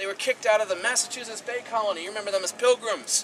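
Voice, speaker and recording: Loud and at a very fast pace, a man talks in a high pitch over noticeable background noise. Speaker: tour guide. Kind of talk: guided tour talk. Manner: animated.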